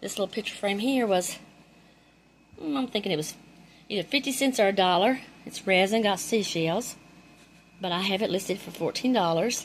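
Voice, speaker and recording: Speaking with a Carolinas accent, a woman uses a medium pitch with ordinary variation, talking at a fairly quick pace broken by long, frequent pauses. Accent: Southern US (Carolinas). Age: 60s. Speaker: thrift reseller, YouTuber. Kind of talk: casual haul show-and-tell. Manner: animated.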